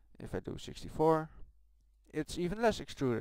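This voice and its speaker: A man speaks with a Dutch accent. The recording is very clean, with a silent background. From Netherlands. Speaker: game modder. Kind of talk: tutorial. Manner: soft-spoken. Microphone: poor voice recording.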